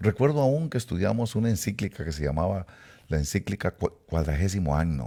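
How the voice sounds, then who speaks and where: A man's voice sits very deep and low with a dark, mellow tone. His intonation is lively. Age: 70s. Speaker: preacher. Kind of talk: sermon-style talk to online audience. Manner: hesitant with fillers.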